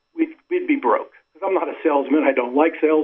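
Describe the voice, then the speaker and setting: A fairly high-pitched man with an American accent, at a moderate pace and with ordinary pitch variation. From Western Pennsylvania. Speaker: army veteran and business owner. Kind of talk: radio interview. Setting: phone call.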